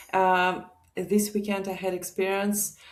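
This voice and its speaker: With music in the background, the speaker talks very slowly in a Russian accent, the intonation monotone and flat. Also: woman. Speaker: guest, immigrant mother. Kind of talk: casual interview chat.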